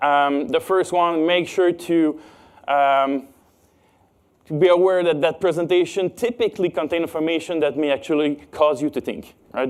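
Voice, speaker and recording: A man speaks with a Quebec accent at a high pitch and a moderate pace. The recording is very clean, with a silent background. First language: French. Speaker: cybersecurity expert. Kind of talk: conference talk. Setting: stage with audience. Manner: halting, many fillers.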